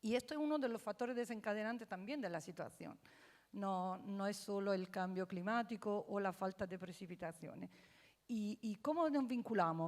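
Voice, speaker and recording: A woman's fairly high voice at a moderate pace. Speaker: water research consortium director. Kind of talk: panel discussion. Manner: halting, many fillers.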